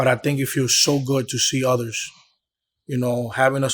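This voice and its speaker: A man with a Dominican accent talks at a fairly quick pace and medium pitch in a monotone, flat intonation. The recording is very clean, with a silent background. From Bronx, New York, Dominican family. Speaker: promoter and club owner. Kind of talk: interview. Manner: casual, repetitive.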